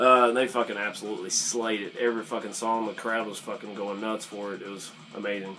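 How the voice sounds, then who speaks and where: A man's very fast, monotone, flat delivery with big swings in loudness over noticeable background noise. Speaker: YouTuber telling metal concert stories. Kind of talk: casual story time vlog. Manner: casual, many fillers and hesitations.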